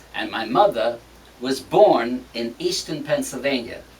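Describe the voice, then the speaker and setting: This is a man speaking. Noticeable background noise runs underneath. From Sicily, Italy. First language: Italian. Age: 70s. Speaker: singer. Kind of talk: interview. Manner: halting.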